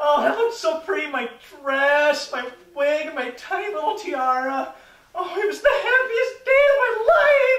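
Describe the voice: A woman does a put-on character voice with a high pitch and a fairly bright tone, moving through big pitch swings at a fairly slow pace. Audible room echo surrounds her.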